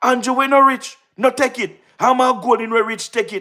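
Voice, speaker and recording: An animated tone with a Jamaican accent. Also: very clean recording, silent background. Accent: Jamaican Patois-inflected English. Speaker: political livestream host. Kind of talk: live-stream political commentary. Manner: loud.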